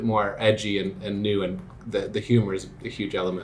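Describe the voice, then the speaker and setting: A man speaks at a fairly low pitch. Noticeable background noise comes through. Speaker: school musical director. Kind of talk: interview. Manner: casual, hesitant with fillers.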